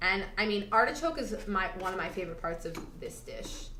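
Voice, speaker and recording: An American-accented woman at a fairly quick pace, lively in intonation, with noticeable background noise and audible room echo. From US Northeast, Long Island. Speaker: cooking show host. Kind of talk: cooking tutorial.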